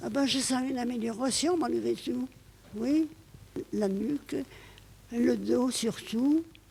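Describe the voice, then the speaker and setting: Speaking at a very slow pace with long, frequent pauses, a woman uses a high pitch, a dark, mellow tone and ordinary pitch variation. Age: 80s+. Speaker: nursing home resident. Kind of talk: interview.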